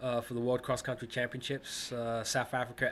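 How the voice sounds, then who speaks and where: This is a man speaking. He has an American accent. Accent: sounds American. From England, then Ohio from the late 1970s. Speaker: former Olympic distance runner. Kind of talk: interview. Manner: halting, many repeats and fillers.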